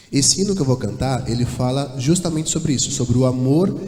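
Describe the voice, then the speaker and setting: With lively intonation and a fairly high pitch, a man talks in a space with audible room echo and noticeable background noise. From São Paulo, Brazil. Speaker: church singer. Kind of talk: church address before a hymn. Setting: church.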